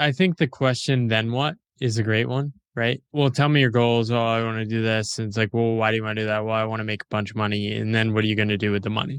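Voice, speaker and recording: An unremarkable speaking voice from a man, medium in pitch, with an American accent and fairly even intonation, in a very clean recording with a silent background. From US, small town. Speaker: author and independent writer. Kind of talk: interview. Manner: casual.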